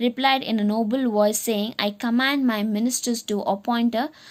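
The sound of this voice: An unforced reading voice carries the text. The words are simply read out.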